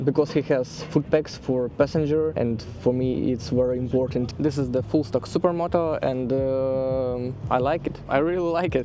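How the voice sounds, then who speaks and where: Someone with a non-native accent talks at a moderate pace with ordinary pitch variation while noticeable background noise runs underneath. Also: man. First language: not English. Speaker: motorcycle vlogger. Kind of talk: casual bike review. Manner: halting.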